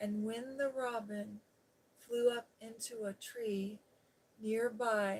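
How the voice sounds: This is a natural reading voice.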